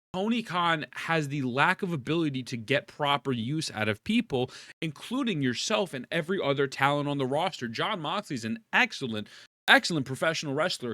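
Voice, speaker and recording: Loud and animated, a man talks at a fairly quick pace in a fairly high pitch with lively intonation and a bright, sharp tone, the sound dry and close with no echo on a very clean recording with a silent background. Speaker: wrestling commentary youtuber. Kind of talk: casual opinion rant to camera. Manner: loud, animated.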